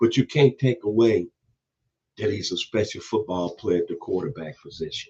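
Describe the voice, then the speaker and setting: At a moderate pace, a man talks with a Memphis accent. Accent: Southern US (Memphis). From US South, Memphis, Tennessee. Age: 60s. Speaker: football commentator youtuber. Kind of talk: casual opinion monologue.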